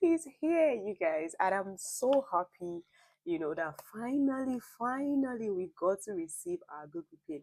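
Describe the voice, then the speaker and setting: A woman with a fairly high pitch speaks at a fairly slow pace, making very wide pitch swings and big swings in loudness. The sound is dry and close with no echo. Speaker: YouTube vlogger. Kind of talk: casual vlog talk.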